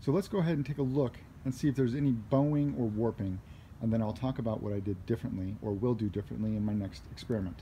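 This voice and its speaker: Somewhat breathy and dark, mellow in tone, a man talks very fast at a medium pitch. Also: ordinary pitch variation. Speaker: DIY hobbyist. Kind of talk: casual talk to camera. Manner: mumbling, hesitant with many fillers.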